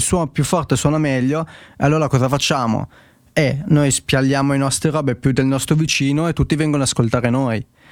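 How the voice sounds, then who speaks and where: Fairly quick and fairly high-pitched, this man has an ordinary speaking voice. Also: very even loudness. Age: 20s. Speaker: podcast host. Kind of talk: casual technical discussion livestream.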